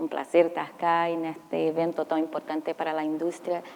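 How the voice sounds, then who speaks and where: Her very deep, low pitch carries this woman's speech along at a moderate pace. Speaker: mining company safety executive. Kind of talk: panel discussion. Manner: halting.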